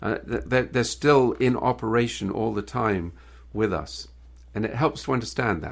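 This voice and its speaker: Against a quiet background, a man talks at a medium pitch with lively intonation and vocal fry. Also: moderate pace. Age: 60s. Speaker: business owner and author. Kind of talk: interview. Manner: halting, many repeated words.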